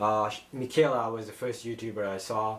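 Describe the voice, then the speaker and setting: Talking at a fairly quick pace, a man speaks with a non-native accent. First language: not English. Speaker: YouTuber. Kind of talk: personal story vlog. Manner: halting.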